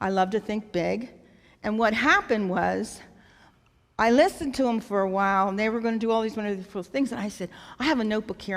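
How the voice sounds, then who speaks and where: In a very clean recording with a silent background, a woman talks at a fairly quick pace with ordinary pitch variation in an unremarkable speaking voice. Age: 60s. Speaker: nonprofit founder. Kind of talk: talk at a church event.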